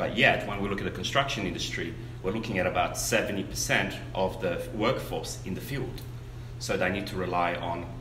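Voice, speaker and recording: Over noticeable background noise, a man speaks at a moderate pace in a very deep, low pitch. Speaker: guest. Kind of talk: interview answer. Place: meeting room.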